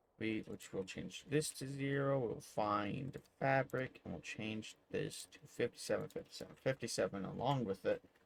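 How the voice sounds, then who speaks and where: A quiet man at medium pitch, moderate pace and ordinary pitch variation, with hardly any pauses. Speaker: gaming youtuber. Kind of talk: tutorial.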